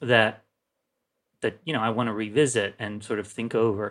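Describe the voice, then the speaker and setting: Man with a bright, sharp tone at a moderate pace, in a very clean recording with a silent background. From Turkey. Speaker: film critic. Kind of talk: casual chat. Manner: halting, many repetitions and fillers.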